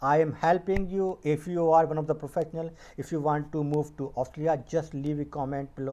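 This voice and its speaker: A man speaks in a dark, mellow tone at a fairly quick pace. His intonation is monotone and flat. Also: fairly high pitch for a man. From India. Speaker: YouTuber and medical scientist. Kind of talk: informational video talk; casual advice talk to camera. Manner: halting with many fillers. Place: home room. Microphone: earbuds.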